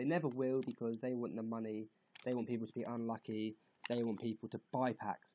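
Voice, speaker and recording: A man with a British accent speaks in monotone, flat intonation. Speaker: gaming youtuber. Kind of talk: casual vlog commentary. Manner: halting.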